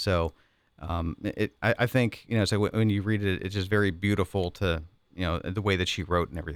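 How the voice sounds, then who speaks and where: A speaker with an American accent talks at a moderate pace with ordinary pitch variation, recorded very cleanly against a silent background. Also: man. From Pittsburgh, western Pennsylvania. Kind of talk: casual chat.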